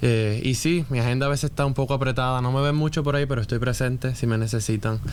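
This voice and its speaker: Very fast speech in a Puerto Rican accent, very even in loudness and fairly even in intonation, with noticeable background noise. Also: man, medium pitch for a man. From Puerto Rico. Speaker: church elder and occupational therapist. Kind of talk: casual chat.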